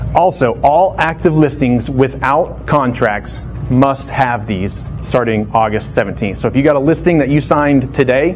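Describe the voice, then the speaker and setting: Audible room echo surrounds the voice. Music plays in the background. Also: man. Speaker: real estate trainer. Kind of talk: lecture. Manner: fast.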